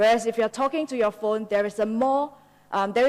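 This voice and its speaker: With a Singaporean accent, a woman speaks using ordinary pitch variation. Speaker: business partnerships manager, conference speaker. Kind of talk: conference talk.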